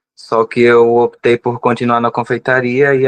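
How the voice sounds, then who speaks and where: A man at a fairly slow pace, in a dry, close sound with no echo over a quiet background. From Brazilian Northeast, Rio Grande do Norte / Ceará border. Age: 20s. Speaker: pastry chef. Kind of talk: interview conversation.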